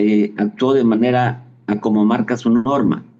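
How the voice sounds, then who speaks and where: A man with a Mexican accent, a medium pitch and a dark, mellow tone, at a very slow pace with fairly even intonation. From Mexico. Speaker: travel agency executive. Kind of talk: interview answer.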